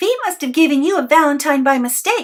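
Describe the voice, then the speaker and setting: A woman's put-on character voice, high-pitched, with lively intonation and a fairly quick pace. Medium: read story.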